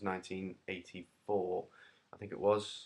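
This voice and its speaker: A man talks with a Liverpool accent. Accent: Liverpool (Scouse) English. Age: 30s. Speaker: YouTuber, Blu-ray collector. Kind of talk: casual video update. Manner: fast.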